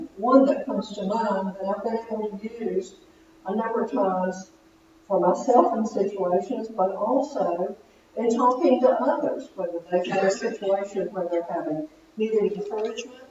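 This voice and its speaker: Against noticeable background noise, a woman with an American accent speaks at a moderate pace, her medium pitch showing ordinary variation. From Virginia, US South (Roanoke area). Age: 60s. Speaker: church member giving testimony. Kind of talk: testimony.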